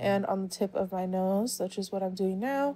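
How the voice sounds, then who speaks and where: Her voice has a dark, mellow tone at medium pitch. The woman speaks at a moderate pace. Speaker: makeup youtuber. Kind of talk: makeup tutorial. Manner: slurring words; casual, filler-heavy.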